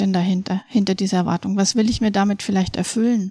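Captured in a very clean recording with a silent background and a dry, close sound with no echo, a woman speaks in a dark, mellow, somewhat breathy voice with fairly even intonation. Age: 40s. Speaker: educational coach for families. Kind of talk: interview. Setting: studio.

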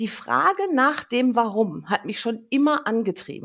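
This is a normal speaking voice. A woman talks at a fairly high pitch with ordinary pitch variation. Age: 50s. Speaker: angel healer. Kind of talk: interview, personal story.

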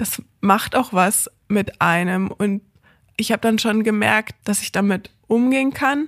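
At a very slow pace and with ordinary pitch variation, the voice comes through with a dry, close sound with no echo on a very clean recording with a silent background. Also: woman, fairly high pitch for a woman. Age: 20s. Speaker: hospice volunteer and lecturer. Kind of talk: interview. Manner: casual, many fillers.

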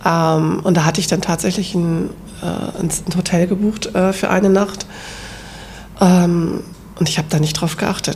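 A woman speaks at a moderate pace in a fairly low voice with fairly even intonation. Noticeable background noise runs underneath. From northern Germany. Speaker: hobby ceramic painter. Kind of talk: casual chat.

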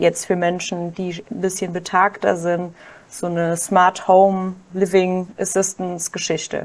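The speech is fairly slow, with monotone, flat intonation. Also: woman. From Germany, Kaiserslautern (Palatinate). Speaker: doctoral researcher and social enterprise founder. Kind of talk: podcast interview.

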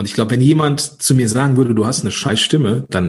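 Vocal fry runs through a man's medium-pitched voice as it makes very wide pitch swings. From Ruhr area / Rhineland, Germany. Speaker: podcast coach. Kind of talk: interview. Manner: animated.

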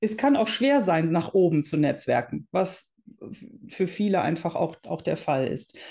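A woman's dark, mellow tone with lively intonation, at a fairly slow pace against a quiet background. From Netherlands, raised in Germany. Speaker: entrepreneur, founder of a women's business network. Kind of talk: interview.

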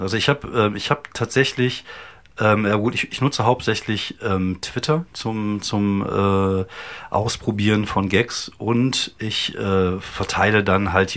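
At a fairly slow pace, a man talks with fairly even intonation and a fairly low pitch. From Germany, Wuppertal (North Rhine-Westphalia). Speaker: stand-up comedian and podcaster. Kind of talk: casual chat. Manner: hesitant, many fillers.

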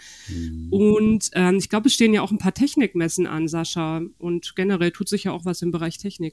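Speaking at a fairly quick pace, a woman has a fairly low pitch and a dark, mellow tone, captured in a very clean recording with a silent background. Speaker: podcast host, magazine deputy editor-in-chief. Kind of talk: casual chat.

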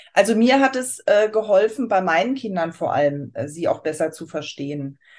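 Against a quiet background, a woman talks at a moderate pace. Her medium-pitched voice makes very wide pitch swings. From Germany, Aschaffenburg area (Lower Franconia/Hesse border). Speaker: astrology consultant. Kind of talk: interview.

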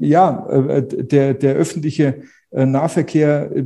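With a dark, mellow tone, a man speaks in a somewhat breathy voice at a fairly high pitch, with fairly even intonation. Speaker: real estate agent. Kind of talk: interview conversation. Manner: repeats words, restarts.

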